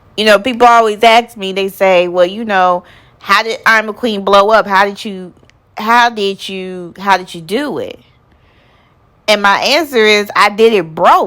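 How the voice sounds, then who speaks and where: The woman's tone is bright and sharp, at a medium pitch with ordinary pitch variation. She talks at a fairly slow pace with big swings in loudness. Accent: Southern US. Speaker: nonprofit founder. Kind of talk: motivational personal story to camera. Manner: passionate, energetic.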